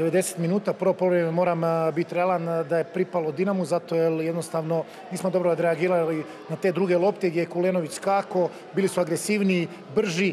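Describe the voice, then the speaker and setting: A man talks at a fairly quick pace in a high voice with monotone, flat intonation. His loudness stays very even over light background noise. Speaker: football coach. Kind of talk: post-match interview. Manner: candid, reflective. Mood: serious, reflective. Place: stadium. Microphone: handheld.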